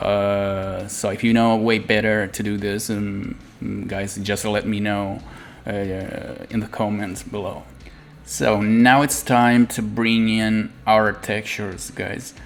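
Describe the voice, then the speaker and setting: In a monotone, flat voice with a fairly low pitch, a man speaks at a very slow pace amid audible room echo. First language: not English. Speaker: 3D art tutorial creator. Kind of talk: tutorial. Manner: halting, many fillers.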